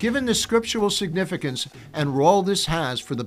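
Faint music in the background plays under a man who keeps a moderate pace. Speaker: podcast host. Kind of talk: promotional teaser monologue. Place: studio. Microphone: studio mic.

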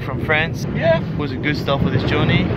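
Loud background noise accompanies a man whose sound is dry, with no echo. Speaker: travel vlogger. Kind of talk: casual vlog chat. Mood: relaxed, reflective. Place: beach. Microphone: camera far.

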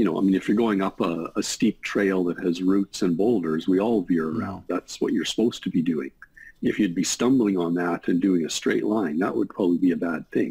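Over a quiet background, a man speaks at a fairly quick pace with a very deep, low pitch, a dark, mellow tone, ordinary pitch variation and very even loudness. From Canada. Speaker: emergency physician. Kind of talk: interview explaining medical topic. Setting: video call. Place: home room. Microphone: video call.

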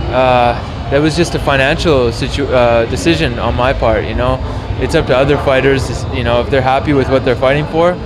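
Noticeable background noise surrounds a man speaking at a fairly quick pace. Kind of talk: interview answer. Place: hall.

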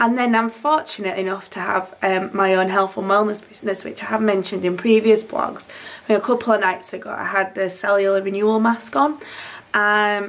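Her intonation fairly even, a woman speaks at a moderate pace. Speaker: vlogger. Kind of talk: casual vlog chat. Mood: cheerful. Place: home room. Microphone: phone near.

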